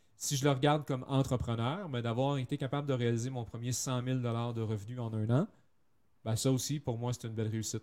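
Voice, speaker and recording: Speaking at a fairly quick pace, a man with a Canadian French accent keeps a medium pitch and fairly even intonation. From French Canada. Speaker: copywriter. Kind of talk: interview.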